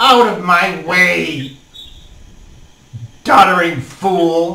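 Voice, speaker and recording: A gravelly put-on character voice at a middle pitch, spoken at a very slow pace. The recording has an audible echo. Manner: contemptuous, dismissive.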